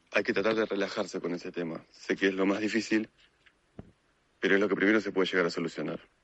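The speaker talks at a very fast pace with a Rioplatense accent. The intonation is monotone and flat. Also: man. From Argentina, Buenos Aires. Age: 20s. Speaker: motorcycle traveler. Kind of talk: recorded testimony.

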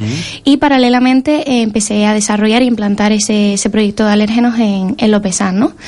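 Using an ordinary speaking voice, a woman at a medium pitch talks with fairly even intonation. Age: 20s. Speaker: allergy coach and entrepreneur. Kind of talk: interview.

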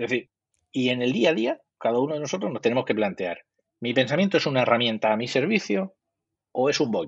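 A man at medium pitch, with an ordinary speaking voice, talks at a fairly quick pace with lively intonation. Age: 50s. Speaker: psychologist. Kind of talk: interview.

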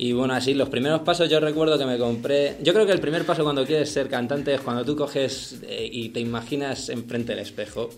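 Hardly pausing, a man speaks at a fairly quick pace and fairly high pitch with ordinary pitch variation over noticeable background noise. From Madrid, Spain. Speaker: singer-songwriter. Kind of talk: interview.

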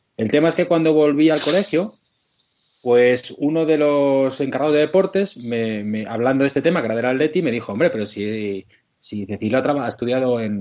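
A normal speaking voice at a fairly quick pace, with lively intonation. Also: man, medium pitch for a man. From Madrid, Spain. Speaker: podcast contributor. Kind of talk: casual chat.

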